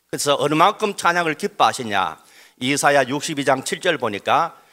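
A man speaks. His tone is bright and sharp. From Daegu, South Korea. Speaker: pastor. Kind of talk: speech. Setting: stage with audience.

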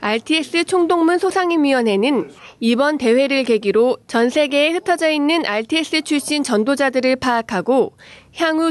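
A woman talks fairly slowly, with a high pitch and lively intonation. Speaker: news reporter. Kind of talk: news reading. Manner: formal.

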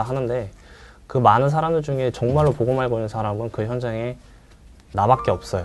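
A man with a medium pitch talks at a moderate pace with ordinary pitch variation. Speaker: army veteran sharing his military service experience. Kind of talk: talk show conversation.

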